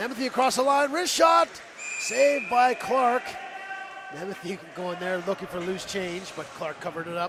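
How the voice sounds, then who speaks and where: Against noticeable background noise, a man speaks in a high pitch with very wide pitch swings. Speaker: play-by-play commentator. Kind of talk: live commentary. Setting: broadcast booth at a hockey arena. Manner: fast; animated.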